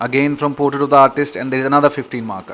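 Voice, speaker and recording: Speaking at a very fast pace, a man uses a fairly high pitch. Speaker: exam coach. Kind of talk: tutorial. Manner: halting.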